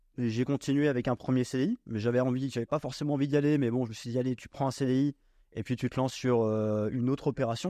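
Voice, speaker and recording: A medium-pitched man talks at a very fast pace with fairly even intonation and a dark, mellow tone. The sound is dry and close with no echo over a quiet background. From Normandy, France. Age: 20s. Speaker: real estate investor. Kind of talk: casual chat.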